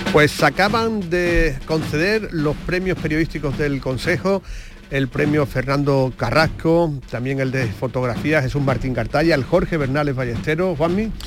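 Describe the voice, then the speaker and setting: A man speaks at a fairly slow pace and fairly high pitch, with ordinary pitch variation. Background noise is noticeable. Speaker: radio host. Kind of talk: radio show presenting. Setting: radio studio.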